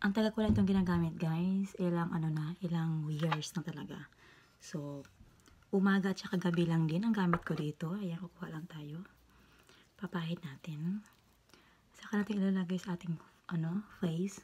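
Speaking at a moderate pace, a woman with a fairly low pitch and a dark, mellow tone sounds somewhat breathy, her intonation fairly even. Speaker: beauty vlogger. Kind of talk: tutorial. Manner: halting.

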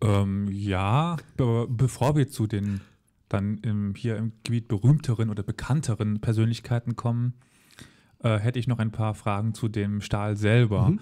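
On a very clean recording with a silent background, a man with a dark, mellow tone and medium pitch speaks at a fairly slow pace with fairly even intonation. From Saarland, Germany (Völklingen). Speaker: history podcast host. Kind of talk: interview. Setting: on location at former steelworks heritage site.

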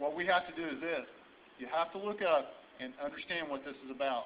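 Light background noise sits behind a man with an American accent. His pitch is fairly high and varies in an ordinary way. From Indiana, US Midwest. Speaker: sheriff candidate. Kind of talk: rally speech. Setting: rally audience, live event. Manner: earnest, fiery. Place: hall. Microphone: camera far.

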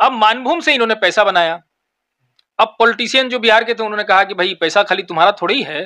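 A man's raised, projected voice, high in pitch with a bright, sharp tone, at a moderate pace with ordinary pitch variation against a quiet background. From Jharkhand, India. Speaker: lawyer; interviewee. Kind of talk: interview. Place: office. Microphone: handheld.

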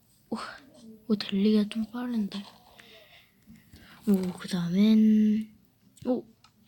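Long pauses break the speech frequently. Its pace is very slow. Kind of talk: casual game commentary. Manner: excitable, exclamatory.

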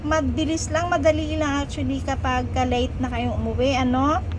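Noticeable background noise runs beneath a woman talking at a moderate pace. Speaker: vlogger and domestic helper in Hong Kong. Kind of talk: casual travel vlog. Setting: outdoors on a trip.

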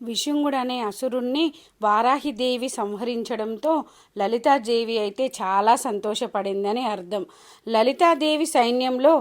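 High-pitched female speech with ordinary pitch variation, very clean recording, silent background. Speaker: devotional vlogger. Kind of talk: devotional tutorial and storytelling.

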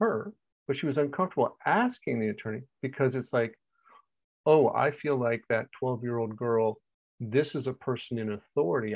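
A man talking at a fairly quick pace with ordinary pitch variation, against a quiet background. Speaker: coach telling a client story. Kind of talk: casual explanatory talk. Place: home room. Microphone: earbuds.

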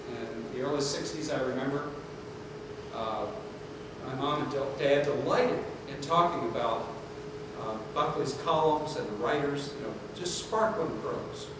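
Heard through noticeable background noise and strong room echo, a man talks at a fairly slow pace with ordinary pitch variation and long, frequent pauses. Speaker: lecturer. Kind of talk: lecture. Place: hall.

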